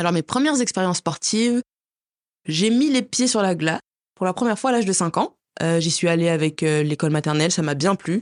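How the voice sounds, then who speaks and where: In a normal speaking voice, a woman talks at a fairly quick pace with a fairly low pitch, lively intonation and very even loudness, in a dry, close sound with no echo over a quiet background. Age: 20s. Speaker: figure skater. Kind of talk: interview.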